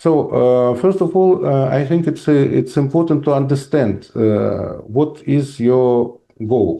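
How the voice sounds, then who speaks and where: A man with a Russian accent talks at a very slow pace in a dark, mellow tone, his fairly high pitch moving with ordinary variation and his loudness very even. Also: hardly any pauses. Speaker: professor. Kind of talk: lecture with Q&A. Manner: halting, many fillers.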